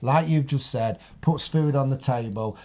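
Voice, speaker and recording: A man with an East Midlands accent speaks at a moderate pace in a dark, mellow tone that is somewhat breathy, his intonation lively. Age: 40s. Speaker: retired adult film actor, photographer; podcast guest or host. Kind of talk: casual chat. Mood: relaxed, candid. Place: studio. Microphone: studio mic.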